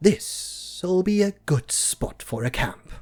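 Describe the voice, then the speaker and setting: A man's put-on character voice, high in pitch, at a very slow pace. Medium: read story. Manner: fretful.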